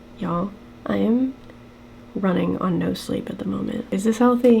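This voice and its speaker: Noticeable noise fills the background. Against it, a woman talks at a moderate pace. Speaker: beauty and costume vlogger. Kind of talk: casual vlog talk while doing makeup.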